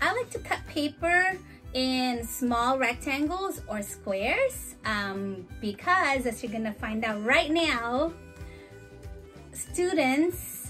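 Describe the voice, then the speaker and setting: Faint music plays behind a woman who speaks at a very slow pace. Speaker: teacher demonstrating an activity. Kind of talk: tutorial. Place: home room.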